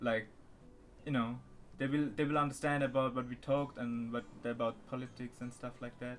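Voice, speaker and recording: A man at a fairly quick pace with monotone, flat intonation and long, frequent pauses, music in the background. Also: medium pitch for a man. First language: not English. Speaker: channel owner chatting with strangers online. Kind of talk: casual chat. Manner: halting.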